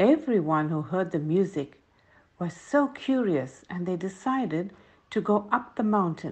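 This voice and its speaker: Somewhat breathy and gentle, warm in tone, a woman speaks at a fairly slow pace with very wide pitch swings. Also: medium pitch for a woman. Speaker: grandmotherly storyteller. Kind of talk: bedtime story telling for children, scripted narration. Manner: gentle, warm and slow.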